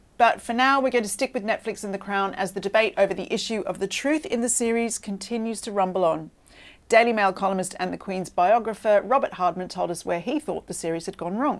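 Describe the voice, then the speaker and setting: Spoken at a very fast pace in an Australian accent, with ordinary pitch variation. The recording is very clean, with a silent background. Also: woman, medium pitch for a woman. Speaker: royal news show host. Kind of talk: scripted presenting.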